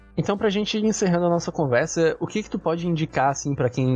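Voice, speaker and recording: A man speaks at a very fast pace, somewhat breathy, with a dark, mellow tone. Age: 20s. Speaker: university student podcast host. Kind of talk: casual interview chat.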